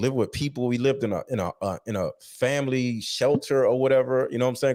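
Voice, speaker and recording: Speaking with a Philadelphia accent, a man has a medium pitch and an animated tone. The recording is very clean, with a silent background. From Philadelphia, US. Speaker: author interviewed about his life. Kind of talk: interview.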